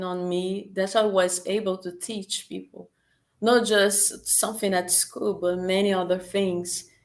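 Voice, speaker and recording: Very slowly, a woman with a Portuguese accent speaks at medium pitch with fairly even intonation. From Brazil, Rio de Janeiro. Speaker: language teacher. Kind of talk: interview. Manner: halting, repeated words.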